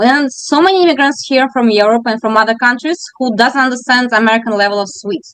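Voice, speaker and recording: A woman talks at a very fast pace with hardly any pauses, in a Russian accent. Her pitch is high, with ordinary variation. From Russia, Moscow. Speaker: bakery owner. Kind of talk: interview.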